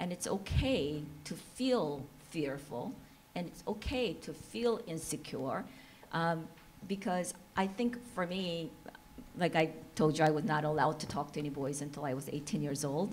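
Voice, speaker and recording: A woman with a Korean accent speaks at a moderate pace in a fairly low pitch, with lively intonation, big swings in loudness, and audible room echo. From South Korea. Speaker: entrepreneur and panelist. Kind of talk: panel discussion.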